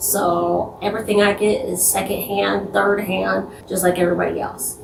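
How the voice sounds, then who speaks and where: At a moderate pace, a woman talks over noticeable background noise. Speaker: YouTuber. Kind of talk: casual vlog commentary. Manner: not enunciating, mouth barely open.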